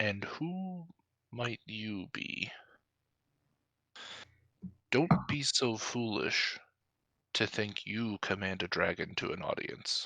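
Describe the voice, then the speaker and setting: A gravelly, raspy, breathy put-on character voice at a very slow pace, with a quiet background. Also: man, medium pitch for a man. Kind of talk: roleplaying game performance. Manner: imperious, haughty.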